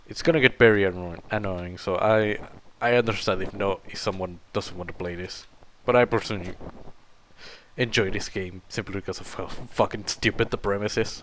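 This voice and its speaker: Speaking with a non-native accent, a man talks at a fairly quick pace with fairly even intonation and big swings in loudness. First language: not English. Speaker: gaming video creator. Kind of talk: let's play commentary. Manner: halting, many fillers.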